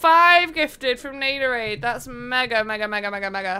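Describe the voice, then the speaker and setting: A woman's voice, bright and sharp in tone. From northern England, Manchester. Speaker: gaming streamer. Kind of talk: live game stream chat. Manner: loud; animated. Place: home room. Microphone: headset.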